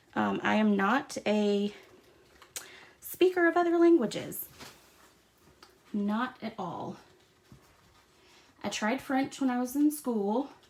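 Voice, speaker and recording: A woman with an American accent speaks very slowly at a high pitch, with lively intonation. She takes long, frequent pauses over noticeable background noise. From US South. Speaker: craft demonstrator. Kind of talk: tutorial. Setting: livestream. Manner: casual, chatty.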